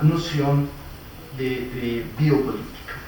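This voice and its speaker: Noticeable background noise mixes with audible room echo throughout. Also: man. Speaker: philosophy professor, conference speaker. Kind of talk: academic lecture. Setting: conference with live audience and interpreter. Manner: hesitant, many fillers.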